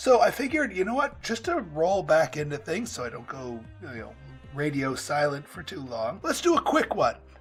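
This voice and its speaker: Music plays in the background as a man talks at a moderate pace. His loudness swings widely. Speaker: gaming YouTuber. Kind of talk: let's play commentary.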